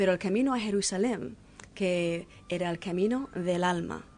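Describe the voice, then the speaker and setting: A woman with a fairly low pitch speaks at a fairly slow pace, her pitch varying in an ordinary way. Noticeable background noise runs under her voice. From Canada, French-English border area. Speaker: peace pilgrim, author. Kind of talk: radio interview.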